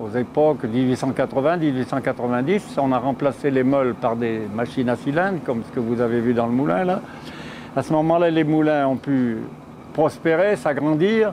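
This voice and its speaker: With ordinary pitch variation and a medium pitch, a man talks at a moderate pace while noticeable background noise continues. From central France, Auvergne / Bourbonnais. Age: 80s+. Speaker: miller. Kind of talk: interview testimony. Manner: hesitant at times.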